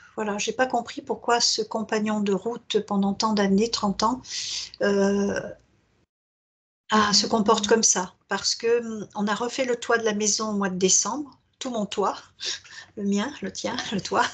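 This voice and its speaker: A woman speaks at a fairly slow pace with long, frequent pauses. Her fairly high voice is somewhat breathy, and her intonation is monotone and flat. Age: 70s. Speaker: hypnosis client. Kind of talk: therapy intake interview. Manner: hesitant.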